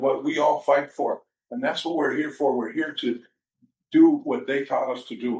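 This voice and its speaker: In a normal speaking voice, a man with fairly high pitch talks at a moderate pace with ordinary pitch variation. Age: 60s. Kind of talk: press conference remarks. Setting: press event.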